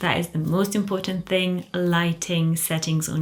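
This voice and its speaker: Soft-spoken, a woman talks at a fairly low pitch. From Poland, moved to England at thirteen. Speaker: fragrance and luxury YouTuber. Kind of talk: casual Q&A video. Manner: quiet, soft-spoken.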